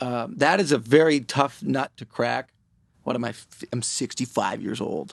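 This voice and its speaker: A man with an American accent speaks at a moderate pace and medium pitch, with vocal fry and big swings in loudness. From Florida. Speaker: music artist. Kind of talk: casual chat. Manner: animated.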